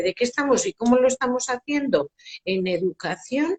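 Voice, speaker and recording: Speaking at a fairly slow pace with lively intonation, a woman uses a plain, everyday voice in a dry, close sound with no echo. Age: 60s. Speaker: parenting educator. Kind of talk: live stream interview. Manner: formal.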